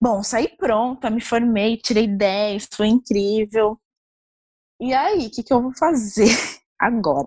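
Long, frequent pauses break up a woman's very slow, somewhat breathy speech, pitched fairly high with ordinary variation. The sound is dry and close, with no echo. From Brazil, Osasco, Greater São Paulo. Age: 20s. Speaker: fashion researcher. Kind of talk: interview. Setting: remote call.

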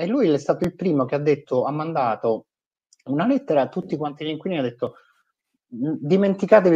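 This man's dark, mellow tone moves at a fairly quick pace with lively intonation. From Italy. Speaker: nonprofit digital and fundraising executive. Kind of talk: interview.

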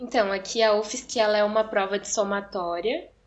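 With an ordinary speaking voice, a woman talks at a fairly slow pace and a fairly high pitch. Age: 20s. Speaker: medical student, former nursing student. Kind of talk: interview, personal story.

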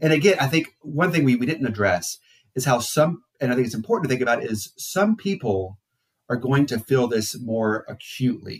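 A man's somewhat breathy, medium-pitched voice moves at a moderate pace. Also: lively intonation. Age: 40s. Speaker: psychologist and therapist. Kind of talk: casual interview. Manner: halting.

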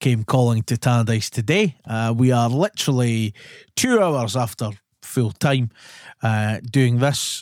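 A man with a Scottish accent at medium pitch and a very slow pace, with ordinary pitch variation, very even loudness, and a dry, close sound with no echo on a very clean recording with a silent background. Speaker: podcast host. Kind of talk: casual chat.

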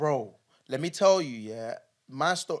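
Speaking with a London accent, a man sounds animated, with lively intonation. The recording is very clean, with a silent background. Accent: London multicultural English. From London, born in Nigeria. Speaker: podcast co-host. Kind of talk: casual chat.

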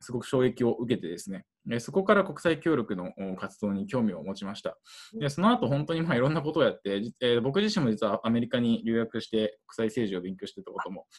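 Speaking at a fairly quick pace, a man with medium pitch makes very wide pitch swings. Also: big swings in loudness. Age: 20s. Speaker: international aid worker. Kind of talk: interview. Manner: halting, many fillers.

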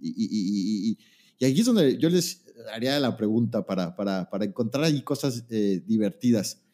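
Speaking at a moderate pace, a man uses lively intonation at a medium pitch with a dark, mellow tone. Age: 40s. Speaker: podcast host. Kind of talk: casual chat. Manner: halting, repeats words.

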